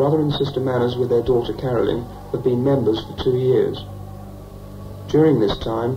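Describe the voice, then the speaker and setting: Speech moves at a fairly quick pace over music in the background. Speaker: film narrator. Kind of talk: documentary narration. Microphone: old recording.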